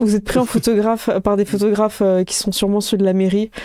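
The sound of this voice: At a fairly quick pace, a woman talks in a medium pitch with little pitch movement, her tone clear and smooth as well as dark and mellow.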